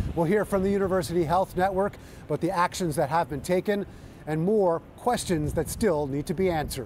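A man with a high-pitched voice speaks in a fairly even tone, recorded dry with no echo over light background noise. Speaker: TV news reporter. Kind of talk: news stand-up report. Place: street.

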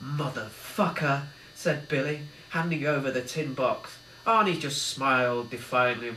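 The words are read aloud in a natural voice. Pitch shifts only in an ordinary way.

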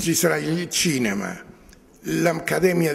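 Lively intonation marks this man's speech. His pitch is fairly high and his pace very slow. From Marche, Italy (San Severino Marche); Marche, Italy. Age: 80s+. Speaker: artist. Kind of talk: interview; interview answer. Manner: halting. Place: hall.

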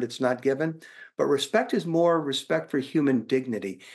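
A man's voice with lively intonation, a moderate pace and a quiet background. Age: 60s. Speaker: leadership author. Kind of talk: interview. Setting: video call. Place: home room. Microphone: webcam.

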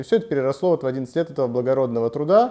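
A man's voice with lively intonation against a quiet background. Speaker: interview guest. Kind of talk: interview answer. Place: studio. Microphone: lapel.

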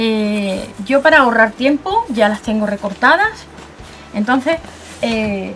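Music sounds behind the voice. The speaker is a woman. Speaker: craft tutorial host. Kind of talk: tutorial.

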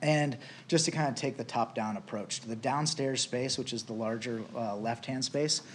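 A man speaks at a medium pitch and a moderate pace, with ordinary pitch variation. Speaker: business owner applicant. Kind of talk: council presentation. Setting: city council meeting. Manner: hesitant, many fillers.

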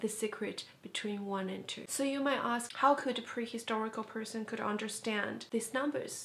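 A woman with a non-native accent speaks at a moderate pace with fairly even intonation. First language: not English. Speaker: educational vlogger. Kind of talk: educational talk to camera. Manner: casual.

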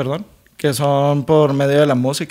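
Against a quiet background, a man with a Mexican accent talks in a fairly high voice for a man. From Mexico. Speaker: podcast co-host. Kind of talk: casual chat. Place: home room. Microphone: studio mic.

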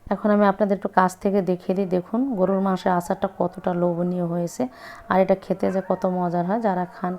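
Monotone, flat intonation from a woman, with noticeable background noise around her. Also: medium pitch for a woman. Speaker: cooking channel host. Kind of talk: cooking tutorial.

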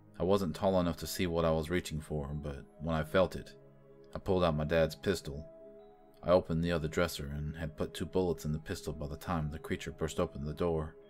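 Very deep, low male voice at a fairly quick pace, fairly even in intonation, with music in the background. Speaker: horror story narrator. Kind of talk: horror story narration.

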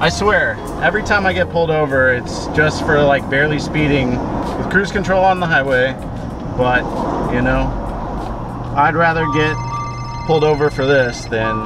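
With music in the background and a dry sound with no echo, the voice moves at a moderate pace, with ordinary pitch variation and long, frequent pauses. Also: man. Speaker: car vlogger. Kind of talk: casual vlog chat. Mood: amused, joking. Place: car. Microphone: phone near.

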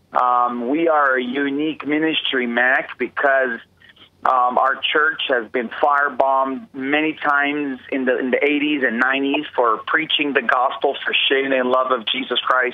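In an American accent, a man speaks at a moderate pace with monotone, flat intonation over noticeable background noise. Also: medium pitch for a man. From Israel, Bethlehem. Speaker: pastor. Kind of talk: interview. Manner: halting, many fillers.

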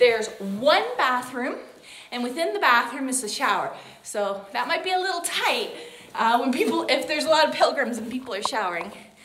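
Against light background noise and audible room echo, a woman talks fairly quickly at a high pitch. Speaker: pilgrim hiker vlogger. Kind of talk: casual vlog chat. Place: home room. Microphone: phone near.

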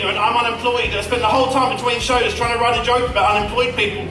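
Noticeable background noise and audible room echo around a male speaker. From Australia. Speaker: comedy juggler. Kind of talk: live stage comedy show with audience banter. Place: stage.

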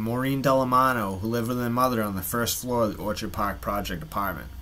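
At a fairly quick pace, a man talks in a medium-pitched voice. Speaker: YouTube true-crime channel narrator. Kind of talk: true-crime narration, scripted-style storytelling. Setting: solo video narration. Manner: measured, dramatic storyteller delivery with dry, wry asides; conversational and wry, with a folksy sign-off.

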